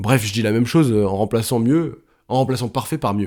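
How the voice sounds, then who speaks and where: A man is speaking. His intonation is lively. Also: very clean recording, silent background. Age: 20s. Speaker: podcaster and YouTuber. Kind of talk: solo podcast monologue. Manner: casual, conversational with many fillers.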